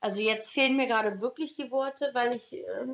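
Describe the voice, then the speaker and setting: This woman's voice has ordinary pitch variation. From Neuss, Rhineland, Germany. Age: 20s. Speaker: podcast co-host, retail worker. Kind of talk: casual chat.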